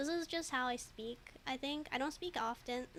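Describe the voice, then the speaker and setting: A woman with a high voice speaks at a moderate pace in a slight East Asian accent. Her tone is bright and sharp, and her intonation is fairly even. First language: Mandarin. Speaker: streamer and digital artist. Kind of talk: casual livestream chat while drawing. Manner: halting, many fillers and repeats.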